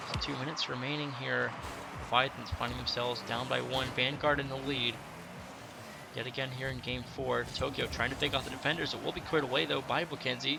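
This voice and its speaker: A man speaks at a very fast pace with fairly even intonation and a medium pitch, over noticeable background noise. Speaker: esports caster. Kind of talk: live commentary.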